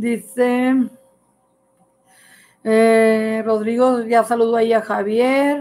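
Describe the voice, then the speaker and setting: A woman's voice, fairly high in pitch. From Mexico, Nuevo León. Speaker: home cook; home cook livestreamer. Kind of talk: livestream cooking show. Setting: live stream. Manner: chatty. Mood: warm, relaxed, laughing. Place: kitchen. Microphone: phone near.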